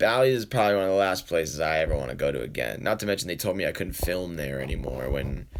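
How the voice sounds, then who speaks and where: A man with vocal fry and an American accent. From New England, Boston, Massachusetts. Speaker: poker vlogger. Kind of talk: live stream Q&A, casual chat. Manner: casual, rambling with fillers.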